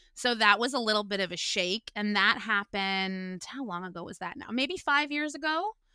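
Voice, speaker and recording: Bright and sharp in tone, a woman speaks at a moderate pace with hardly any pauses. Her pitch is fairly high, and her intonation is lively. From Ontario, Canada (Guelph). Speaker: comedian and podcaster. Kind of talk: casual interview.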